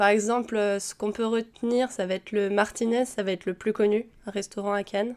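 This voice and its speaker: On a very clean recording against a silent background, the talking proceeds at a moderate pace. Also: woman. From Paris region, France. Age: 20s. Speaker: software developer, former cook. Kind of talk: testimony. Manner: hesitant, many filler sounds.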